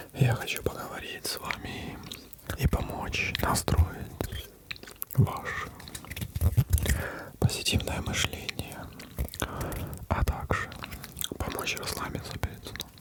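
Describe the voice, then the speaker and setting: Someone whispers in a calm tone at a very slow pace, with long, frequent pauses. Noticeable background noise runs underneath. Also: man. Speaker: ASMR creator. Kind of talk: ASMR role-play as a psychologist, calming guidance. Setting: studio microphone, gameplay in the background. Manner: whispered, soft, calm.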